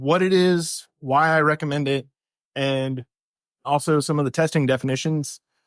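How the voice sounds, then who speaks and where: A soft-spoken man at a fairly high pitch, with fairly even intonation, in a dry, close, echo-free recording that is very clean with a silent background. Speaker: software developer, conference speaker. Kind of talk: conference talk. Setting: stage with audience. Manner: normally soft-spoken, projecting now; casual, slightly halting.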